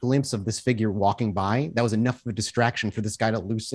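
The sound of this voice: Intonation stays fairly even as this unforced reading voice goes on.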